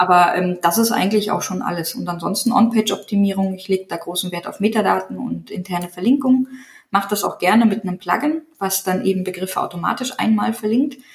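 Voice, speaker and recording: With a normal speaking voice, a woman talks fairly quickly at medium pitch with ordinary pitch variation. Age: 30s. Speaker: digital agency owner and niche site builder. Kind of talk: interview.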